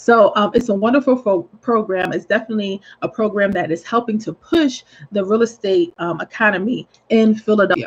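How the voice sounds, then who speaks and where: Against a quiet background, a somewhat breathy voice speaks with lively intonation. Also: woman. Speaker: real estate agent. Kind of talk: informal video tip. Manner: hesitant, many fillers.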